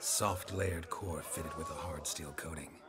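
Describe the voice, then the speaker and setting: A man speaks in a put-on character voice at a very deep, low pitch and a moderate pace, with clear background noise. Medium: machinima. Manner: dry, understated.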